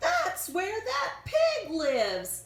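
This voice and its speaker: Putting on a character voice, a woman sounds squeaky and extremely high-pitched. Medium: read story.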